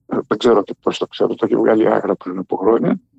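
A man speaks in a dry, close recording with no echo. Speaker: writer and poet. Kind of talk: interview. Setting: phone call.

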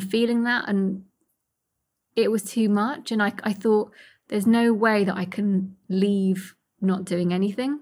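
A woman's somewhat breathy, fairly high voice at a very slow pace, with fairly even intonation. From Iraqi Kurdistan, raised in London from young age. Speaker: charity founder. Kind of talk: interview testimony.

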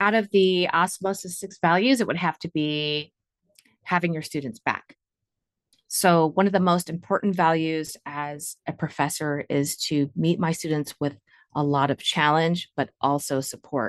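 In an American accent, a woman speaks fairly slowly at a fairly low pitch with ordinary pitch variation, the sound dry and close with no echo. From US Midwest, Northeast Ohio. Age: 40s. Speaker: nursing professor. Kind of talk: interview.

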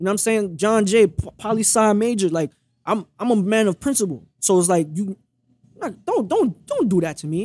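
A man with a Brooklyn accent speaks at a moderate pace in a high pitch, with ordinary pitch variation. The sound is dry and close, with no echo. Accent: New York (Brooklyn). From Brooklyn, New York. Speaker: podcast guest sharing relationship story. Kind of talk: casual interview chat. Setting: recorded at a restaurant. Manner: animated, passionate.

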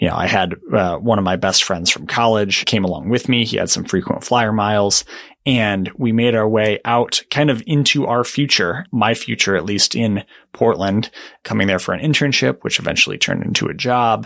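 A man with an American accent talks at a moderate pace with ordinary pitch variation and a fairly low pitch. It is an ordinary speaking voice. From Michigan. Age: 20s. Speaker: podcast host. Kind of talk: casual chat.

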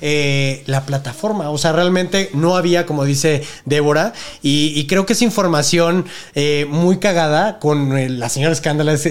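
A man at a moderate pace with ordinary pitch variation amid noticeable background noise. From northern Mexico (Monterrey). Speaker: adult content creator. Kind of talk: casual interview chat.

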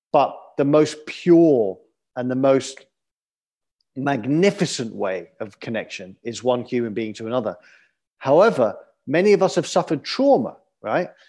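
A man's fairly high, dark, mellow voice in a London accent, at a moderate pace with very wide pitch swings and long, frequent pauses, on a very clean recording with a silent background. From London, England. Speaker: adventurer, author and TV host. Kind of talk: interview. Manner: halting, with fillers.

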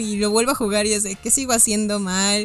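A fairly high-pitched woman with a Mexican accent, music playing in the background. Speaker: board game company staff. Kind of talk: casual chat.

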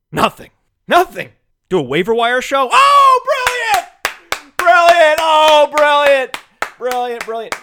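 A man speaks in a raised, projected voice at an extremely high pitch, with very wide pitch swings. Long pauses come often. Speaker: fantasy football radio host. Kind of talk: solo sports talk monologue. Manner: fast; animated.

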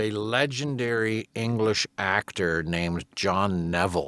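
A man's voice on a very clean recording with a silent background. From England. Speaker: voice actor. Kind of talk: casual chat.

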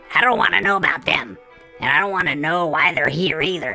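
A put-on character voice with clear music in the background. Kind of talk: campy horror host intro. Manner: gleeful, teasing, bossy.

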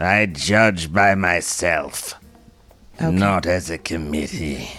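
A man puts on a character voice, speaking very slowly at a very deep, low pitch. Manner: imperious, authoritative.

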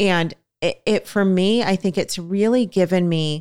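Speaking at a fairly slow pace, a woman has an unremarkable speaking voice with a fairly low pitch. Her intonation stays fairly even. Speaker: podcast host. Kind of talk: casual chat.

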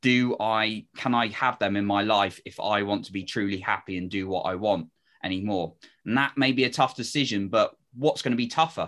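This man has a normal speaking voice and keeps a moderate pace. He sits fairly low in pitch, and his pitch varies in an ordinary way. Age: 30s. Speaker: confidence coach and podcast host. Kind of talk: interview.

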